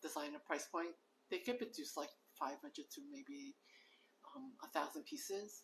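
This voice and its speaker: A woman speaks with very wide swings in her pitch. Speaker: fashion stylist. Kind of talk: livestream talk to viewers. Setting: live stream. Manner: hesitant, many fillers.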